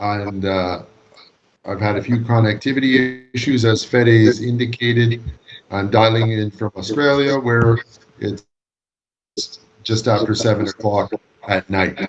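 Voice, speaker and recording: Fairly even intonation at a moderate pace, broken by long, frequent pauses. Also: man. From Canada. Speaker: law lecturer. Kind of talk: lecture. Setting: video call. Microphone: long-distance online connection.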